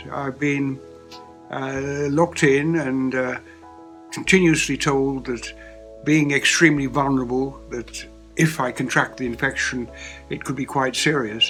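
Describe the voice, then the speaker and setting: Music plays behind a man who speaks at a fairly slow pace with long, frequent pauses. His pitch is fairly high and his intonation fairly even. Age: 80s+. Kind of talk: interview answer.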